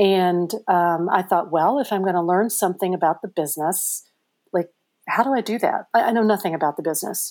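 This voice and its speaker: In a very clean recording with a silent background, a woman with an American accent speaks at a fairly quick pace, medium in pitch with ordinary pitch variation. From Kentucky, early childhood in Missouri boot heel. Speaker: mystery novelist, former architect. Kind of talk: interview.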